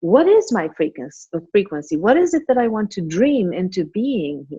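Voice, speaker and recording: Her voice somewhat breathy and at medium pitch, a woman speaks at a moderate pace with very wide pitch swings and big swings in loudness. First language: not English. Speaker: spiritual author and teacher. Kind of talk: podcast interview.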